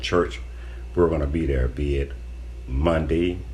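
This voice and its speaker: With audible room echo, a man with an American accent speaks in a very deep, low, somewhat breathy voice with ordinary pitch variation. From Florida. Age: 60s. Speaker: guest, host's father. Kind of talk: casual podcast chat.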